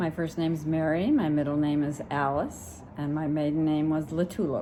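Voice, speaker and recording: In a room with audible echo, a woman with a very deep, low pitch and a dark, mellow tone speaks at a moderate pace with fairly even intonation. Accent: American. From California, US. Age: 70s. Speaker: grandmother interviewed. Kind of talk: interview answers.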